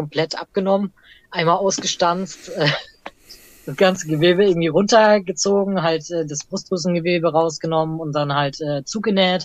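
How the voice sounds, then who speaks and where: A woman talks at a moderate pace in a fairly low pitch. Her intonation stays fairly even. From Franconia, Bavaria (Erlangen). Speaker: detransitioner sharing her story. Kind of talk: interview testimony. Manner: casual, many fillers.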